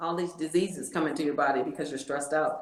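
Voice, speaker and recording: A woman talks at a very fast pace with an American accent. Audible room echo surrounds her voice. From Michigan, US Midwest. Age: 60s. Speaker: podcast guest, real estate agent and artist. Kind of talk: casual interview chat.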